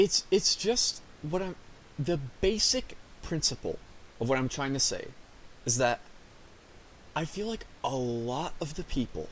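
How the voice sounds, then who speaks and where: A man speaks at a fairly slow pace, his pitch swinging very widely. Long pauses come often. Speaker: streamer. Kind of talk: casual rant. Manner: halting.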